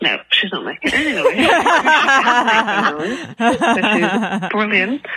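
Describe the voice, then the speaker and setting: Speaking with an English accent, a woman uses lively intonation and a fairly high pitch at a very slow pace, with hardly any pauses. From England. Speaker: caller. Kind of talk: voicemail message. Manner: quiet. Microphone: too quiet.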